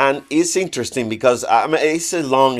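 In a very clean recording with a silent background, a man with a Spanish accent talks at a moderate pace using lively intonation. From Cuba. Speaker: visual artist. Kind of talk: interview. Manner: hesitant, many fillers.

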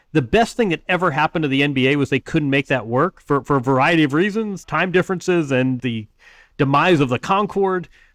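A man's plain, everyday voice, a plain, everyday voice, fairly high in pitch, at a fairly quick pace, with very even loudness, in a dry, close recording with no echo over a quiet background. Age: 50s. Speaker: sports writer and author. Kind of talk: casual chat.

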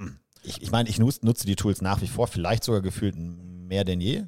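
In a fairly low pitch, a man with a dark, mellow tone talks at a moderate pace with fairly even intonation. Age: 30s. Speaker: podcast co-host. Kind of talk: casual chat.

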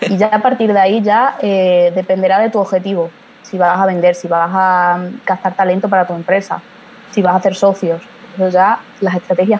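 Flat, monotone delivery from a woman at medium pitch and moderate pace, with noticeable background noise. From Spain, Badajoz (Extremadura). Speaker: social media marketing strategist. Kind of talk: interview.

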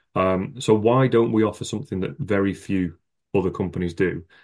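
The background is quiet. This man's pitch is very deep and low. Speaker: former teacher, education content writer. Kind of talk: casual interview chat. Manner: monotone, less animated.

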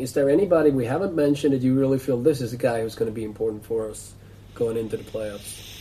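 Against noticeable background noise, a man with a medium pitch talks at a very fast pace with ordinary pitch variation. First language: Swedish. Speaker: sports podcast host. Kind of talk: casual interview.

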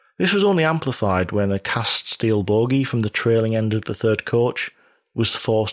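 A man with a British accent speaks at a moderate pace and fairly low pitch. The very clean recording has a silent background and a dry, close sound with no echo. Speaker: true-crime podcast host. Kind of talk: true-crime documentary narration. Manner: measured, steady narrator; formal, detail-heavy delivery.

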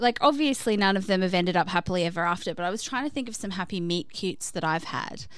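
Very fast and with hardly any pauses, a woman speaks in a medium pitch with lively intonation and an Australian accent. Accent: Australian, often mistaken for British abroad. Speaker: podcast co-host. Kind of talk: casual chat, reading listener stories.

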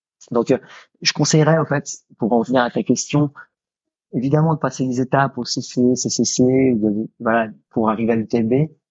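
A man speaks at a fairly slow pace, his medium pitch moving with ordinary variation. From Switzerland. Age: 30s. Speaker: ultra-trail runner and police investigator. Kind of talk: interview conversation. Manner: halting, many repetitions.

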